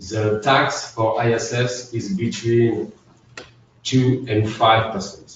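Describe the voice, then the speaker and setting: A man's fairly low, flat monotone in a French accent at a very slow pace, against noticeable background noise. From France. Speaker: accountant. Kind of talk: webinar presentation. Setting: online webinar. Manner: halting, many fillers.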